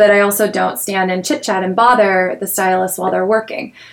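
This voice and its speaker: A woman of medium pitch talks with fairly even intonation in an unremarkable speaking voice. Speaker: marketing director. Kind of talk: casual interview.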